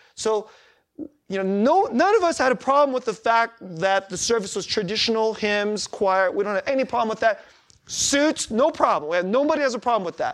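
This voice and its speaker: A man's extremely high-pitched voice with lively intonation at a fairly quick pace. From US, Korean immigrant community. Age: 40s. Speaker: pastor. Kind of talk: sermon. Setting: church. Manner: halting, many false starts and fillers.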